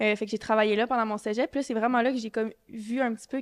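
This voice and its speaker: In a Quebec accent, a woman speaks at a very fast pace with fairly high pitch. Her intonation is monotone and flat, and the background is quiet. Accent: Quebec French, Saguenay. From Quebec, Saguenay-Lac-Saint-Jean. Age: 20s. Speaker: medical student. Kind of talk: podcast interview. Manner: hesitant, many fillers.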